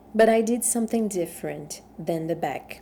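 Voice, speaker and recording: In a strong Brazilian accent, a woman speaks at a fairly slow pace with a dark, mellow tone and ordinary pitch variation. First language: Portuguese. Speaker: knitting instructor. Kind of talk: tutorial. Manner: conversational with fillers and tag questions.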